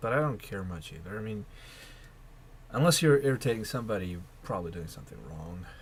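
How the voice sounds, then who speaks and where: A man with a fairly low, somewhat breathy voice talks at a very fast pace, his pitch swinging very widely. He takes long, frequent pauses, and audible room echo surrounds him. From Russia. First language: Russian. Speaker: video blogger. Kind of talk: casual monologue vlog. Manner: hesitant, with repetitions.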